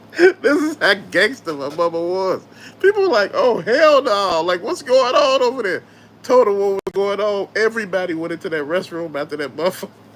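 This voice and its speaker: Over noticeable background noise, a man with a Southern US accent speaks at a high pitch. His delivery is fairly quick and animated in tone, with lively intonation. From US South. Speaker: YouTube host, toy collector. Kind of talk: casual live-stream chat.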